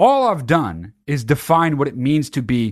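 An animated tone over a quiet background. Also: man. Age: 30s. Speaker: podcast host. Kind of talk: casual monologue.

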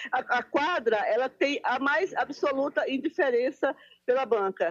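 A woman speaks at a high pitch with very wide pitch swings. Her pace is moderate, and the sound is dry and close with no echo. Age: old. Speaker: journalist and newsstand owner. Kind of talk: interview. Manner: halting, many repetitions; calm.

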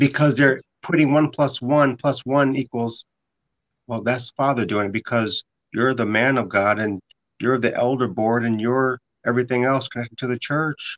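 A man speaks at a moderate pace and a medium pitch. The recording is dry and close, with no echo. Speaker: radio host and podcaster. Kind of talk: casual interview conversation. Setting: studio, guest joins remotely. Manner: animated, excitable.

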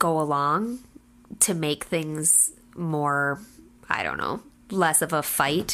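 In a very clean recording with a silent background, a woman with an Upper Midwest accent talks at a very slow pace, her fairly low pitch showing ordinary variation. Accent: Upper Midwest (Minnesota). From central Minnesota. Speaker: hairstylist, host's wife. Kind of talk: casual chat.

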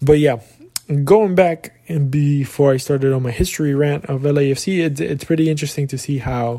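A man with a normal speaking voice, fairly high in pitch, at a moderate pace with ordinary pitch variation. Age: young. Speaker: soccer podcast host. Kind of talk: casual solo talk. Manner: casual, filler-heavy.

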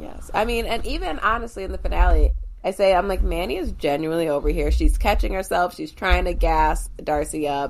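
Over noticeable background noise, a woman speaks at a fairly quick pace with hardly any pauses. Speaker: podcast co-host. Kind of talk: casual chat.

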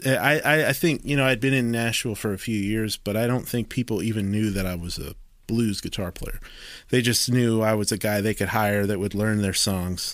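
A man with an American accent and an unremarkable speaking voice, fairly low in pitch with ordinary pitch variation, at a moderate pace on a very clean recording with a silent background. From rural Maryland, US. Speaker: guitarist. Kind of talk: casual chat.

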